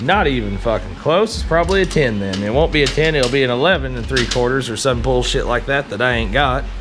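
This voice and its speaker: A man with an American accent talks at a very fast pace with hardly any pauses, over music in the background and audible room echo. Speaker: motorcycle DIY vlogger. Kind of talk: casual tutorial. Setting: home garage.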